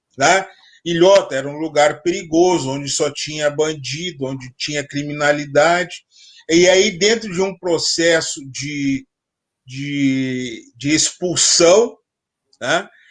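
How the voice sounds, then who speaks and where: Pitch shifts in an ordinary way while the words come out very slowly. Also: man, fairly high pitch for a man. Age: 60s. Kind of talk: live interview discussion.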